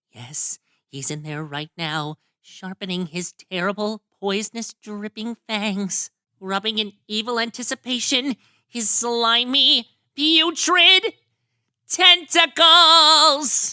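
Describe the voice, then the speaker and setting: In a cartoonish character voice, a female-sounding speaker talks at a fairly slow pace, her fairly high pitch swinging very widely. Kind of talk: cartoon fan dub. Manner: upbeat, excitable.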